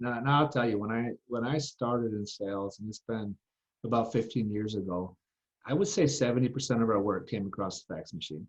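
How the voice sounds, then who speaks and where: A man talks at a moderate pace and a medium pitch. His pitch variation is ordinary. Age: 30s. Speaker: steel distribution salesman. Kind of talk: podcast interview. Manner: halting, many fillers.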